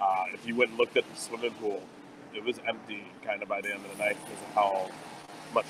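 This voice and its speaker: Recorded dry with no echo, a man talks over noticeable background noise. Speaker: remote guest. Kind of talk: casual interview chat. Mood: cheerful, amused. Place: cafe. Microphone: earbuds.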